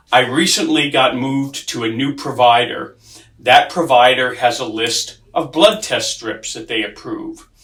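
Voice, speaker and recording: At a fairly slow pace, a man with a fairly high pitch and ordinary pitch variation speaks over noticeable background noise. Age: 60s. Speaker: patient sharing testimony. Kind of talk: testimony.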